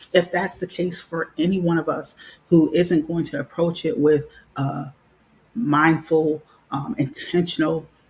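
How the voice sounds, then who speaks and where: A somewhat breathy woman's voice, fairly low in pitch with ordinary variation, at a fairly slow pace. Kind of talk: live talk show monologue. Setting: live stream with headset. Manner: calm, measured.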